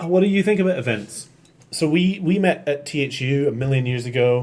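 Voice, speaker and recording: The voice moves at a fairly quick pace with lively intonation in a Scottish accent. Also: man, fairly high pitch for a man. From Scotland, Edinburgh. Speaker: podcast host. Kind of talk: casual chat. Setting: live stream.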